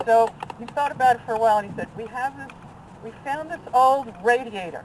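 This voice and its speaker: The speech moves at a fairly quick pace with ordinary pitch variation, big swings in loudness, and noticeable background noise. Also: woman, high pitch for a woman. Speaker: friend of the deceased. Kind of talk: memorial tribute.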